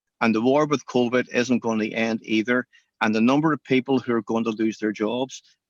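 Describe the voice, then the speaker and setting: Dry and close with no echo, the recording has a man speaking with a Northern Irish accent. His pitch is medium and his intonation fairly even. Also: quiet background. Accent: Northern Irish (Belfast). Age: 60s. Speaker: cinema chain owner, entrepreneur. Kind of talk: interview.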